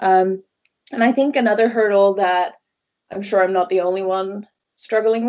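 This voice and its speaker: With a Norwegian accent, a woman speaks at medium pitch. Her pace is moderate. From Norway. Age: 20s. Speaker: travel blogger. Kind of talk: casual interview chat.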